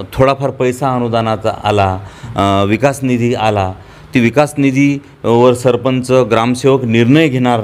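A man speaks in an ordinary speaking voice, at medium pitch, with fairly even intonation. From Marathwada, Hingoli district, Maharashtra; Maharashtra. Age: young. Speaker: village council activist. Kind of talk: interview. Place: home room. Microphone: lapel.

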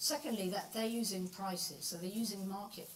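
A woman speaks here. Noticeable background noise runs underneath. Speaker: professor. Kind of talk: lecture. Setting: lecture hall with microphone.

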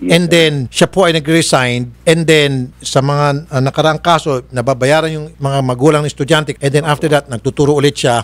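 A man talks at a fairly quick pace with hardly any pauses and fairly even intonation. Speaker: show host. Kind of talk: interview questioning. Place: studio. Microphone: studio mic.

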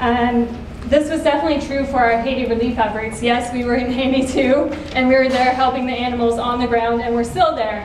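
A woman talks at a high pitch in a monotone, flat intonation. Audible room echo and light background noise are present. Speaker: nonprofit social media manager. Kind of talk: conference talk. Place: stage. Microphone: camera far.

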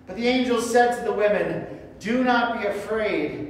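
Strong room echo surrounds a high-pitched man talking fairly slowly with ordinary pitch variation. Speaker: church reader or pastor. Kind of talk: scripture reading. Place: church. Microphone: camera far.

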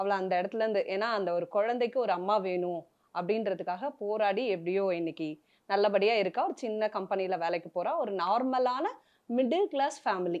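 A woman talks at a medium pitch with ordinary pitch variation in an unremarkable speaking voice. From Chennai, India. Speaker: serial actress. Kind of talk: emotional interview.

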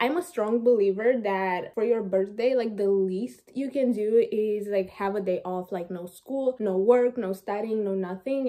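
A woman speaks with a Romanian accent at a moderate pace. Her pitch varies in an ordinary way. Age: 20s. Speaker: university student. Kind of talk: casual talk to camera. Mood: relaxed, chatty. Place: home room. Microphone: phone near.

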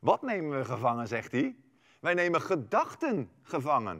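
A man with vocal fry talks at a moderate pace in an animated tone, his pitch swinging very widely over a quiet background. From Netherlands. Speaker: preacher. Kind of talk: sermon. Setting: livestream from a church. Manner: earnest, emphatic teaching delivery with rhetorical questions; animated, persuasive. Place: stage.

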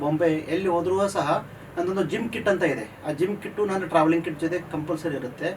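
A man with a high-pitched voice talks amid noticeable background noise. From North Karnataka, Gokak (Belgaum district). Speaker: chartered accountant and entrepreneur. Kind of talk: interview.

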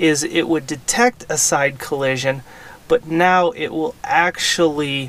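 A man talks at a fairly slow pace in a dry sound with no echo. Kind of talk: tutorial. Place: car. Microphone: camera far.

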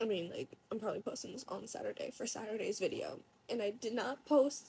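A quiet woman's voice, fairly high-pitched with a dark, mellow tone, ordinary pitch variation and a very fast pace, over light background noise. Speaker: vlogger. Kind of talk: casual talk to camera. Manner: quiet, hard to hear. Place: home room. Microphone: phone near.

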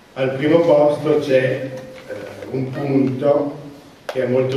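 A man speaks at a fairly slow pace. Strong room echo and light background noise surround his voice. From France, Italian parents. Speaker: transport sector manager, council candidate. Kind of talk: campaign speech. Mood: somewhat nervous, first public talk. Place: hall. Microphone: camera far.

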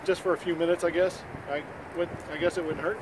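Over noticeable background noise, a man with a high voice talks at a fairly quick pace in a dry sound with no echo. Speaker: vlogger. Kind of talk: casual vlog chat. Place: street.

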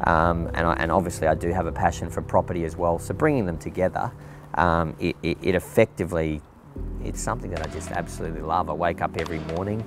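Over music in the background, a man talks fairly quickly with an Australian accent, his pitch very deep and low, with ordinary pitch variation. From South Australia. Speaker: real estate agent and auctioneer. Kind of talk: interview answer. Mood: warm, enthusiastic. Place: garden.

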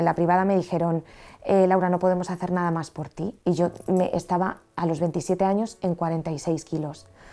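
In a Madrid accent, a woman with a fairly low pitch speaks in a dark, mellow tone against a quiet background. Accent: central Spanish (Madrid). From Madrid, Spain; Spain. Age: 30s. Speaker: train driver sharing faith story; interview guest. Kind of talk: testimony. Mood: earnest personal testimony. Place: studio. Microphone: lapel.

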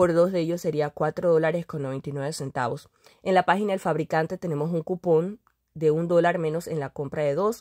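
With a dark, mellow tone and fairly low pitch, a woman speaks at a fairly quick pace and fairly even intonation, recorded dry and close with no echo on a very clean recording with a silent background. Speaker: couponing vlogger. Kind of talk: product deals tutorial.

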